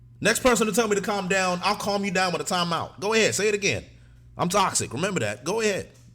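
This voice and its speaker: A man speaks loudly and very fast in an animated tone. His pitch is high. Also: ordinary pitch variation. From Africa. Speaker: streamer reacting to anime. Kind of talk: live stream chat.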